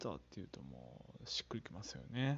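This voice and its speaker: A man is speaking. His pitch swings very widely. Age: 30s. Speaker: solo podcaster. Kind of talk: casual solo monologue. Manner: casual, filler-heavy.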